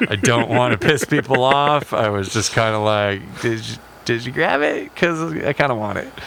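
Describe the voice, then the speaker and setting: A man with a medium pitch and ordinary pitch variation talks at a moderate pace while noticeable background noise carries on behind him. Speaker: electronic music performer. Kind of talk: casual chat.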